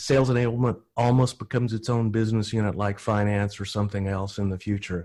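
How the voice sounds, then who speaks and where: A man talks in a Texan accent. His pace is fairly quick. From Texas. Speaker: enablement director. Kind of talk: panel discussion. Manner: halting.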